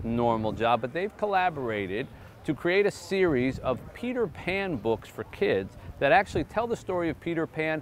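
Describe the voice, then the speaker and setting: Very wide pitch swings at a moderate pace, a dry sound with no echo and light background noise. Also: man. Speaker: show host. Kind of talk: presenter intro to camera. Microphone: lapel.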